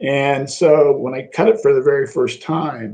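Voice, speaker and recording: In a Midwestern American accent, a man speaks at a very slow pace with lively intonation. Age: 60s. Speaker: business incubator executive. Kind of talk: interview.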